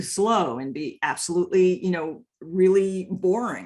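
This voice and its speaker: A medium-pitched woman's voice with lively intonation. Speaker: software training manager. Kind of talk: webinar presentation. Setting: webinar. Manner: fast.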